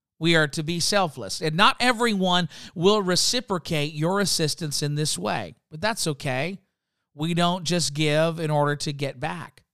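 An unremarkable speaking voice from a man, fairly high in pitch, with ordinary pitch variation, on a very clean recording with a silent background. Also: moderate pace. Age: 30s. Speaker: youth ministry podcast host, pastor. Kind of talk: solo podcast talk on leadership.

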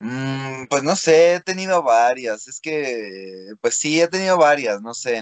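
At a very slow pace with hardly any pauses, the delivery has lively intonation and big swings in loudness in a dry, close sound with no echo. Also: man, medium pitch for a man. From Mexico. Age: 20s. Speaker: freestyle rapper. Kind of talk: interview. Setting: video call.

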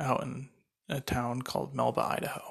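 Fairly even in intonation and fairly slow in pace, a man's medium-pitched voice shows vocal fry. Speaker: podcast host and entrepreneur. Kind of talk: solo podcast monologue. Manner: halting, many fillers.

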